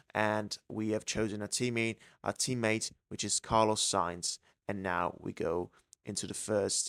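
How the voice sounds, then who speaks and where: At a fairly slow pace, a man with an Italian accent speaks in a fairly low pitch with fairly even intonation, on a very clean recording with a silent background and a dry, close sound with no echo. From Italy. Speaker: gaming YouTuber. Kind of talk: let's play commentary. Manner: hesitant with fillers.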